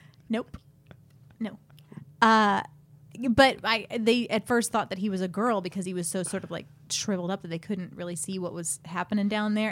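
Recorded very cleanly against a silent background, a woman uses an ordinary speaking voice at medium pitch with ordinary pitch variation. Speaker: podcast host. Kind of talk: casual banter, comedy advice show. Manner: bantering, joking.

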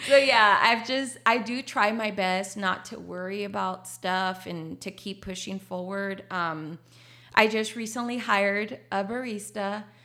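A woman with a Spanish accent, medium in pitch, with a bright, sharp tone, ordinary pitch variation, big swings in loudness and a fairly slow pace. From Laredo, Texas. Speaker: coffee shop owner. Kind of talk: casual interview. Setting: studio. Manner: animated, frequent laughter.

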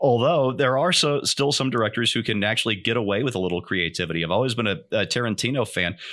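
At a very fast pace, a bright, sharp voice with lively intonation and very even loudness comes through on a very clean recording with a silent background. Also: man. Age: 50s. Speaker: podcast host. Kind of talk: casual chat.

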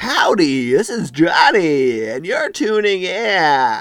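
A man does a put-on character voice at a high pitch, with very wide pitch swings and a very slow pace. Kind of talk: radio announcer, greeting listeners.

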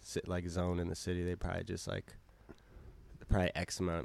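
A man with an American accent speaks in a very deep, low pitch. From Cambridge, Massachusetts. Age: 20s. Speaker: musician. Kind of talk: casual chat. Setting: studio.

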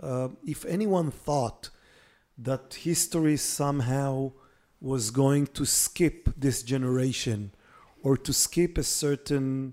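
In a very clean recording with a silent background, a man with an Israeli accent speaks very slowly, his fairly high voice carrying a dark, mellow tone. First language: Hebrew. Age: 50s. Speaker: political journalist and policy fellow. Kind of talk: interview.

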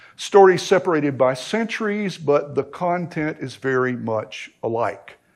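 A man with an American accent talks at a fairly high pitch, using ordinary pitch variation. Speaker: pastor. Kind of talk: sermon. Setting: church.

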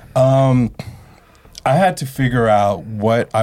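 Speaking with a Californian accent, a man has a dark, mellow tone. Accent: Californian American English. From San Francisco Bay Area. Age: 40s. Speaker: graphic artist. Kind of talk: casual chat.

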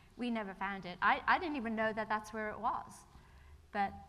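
Noticeable background noise and audible room echo surround this woman as she talks in a fairly high pitch. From England then Ireland from age 12. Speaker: church member sharing testimony. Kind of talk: testimony. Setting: church.

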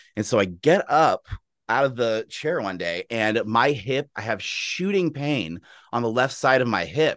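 A man with a plain, everyday voice talks at a fairly slow pace and medium pitch, his intonation lively, the sound dry and close with no echo against a quiet background. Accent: American. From Texas, Austin. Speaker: orchestral horn player and music professor, powerlifter. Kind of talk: casual interview conversation.

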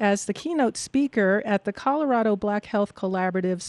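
A normal speaking voice with ordinary pitch variation, a quiet background and a dry, close sound with no echo. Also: woman. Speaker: radio host. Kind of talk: radio interview.

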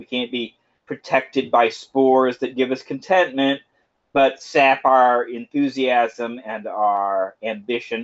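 At a fairly slow pace, a man with an American accent and a plain, everyday voice speaks with fairly even intonation. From Houston, Texas. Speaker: podcast co-host. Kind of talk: casual chat.

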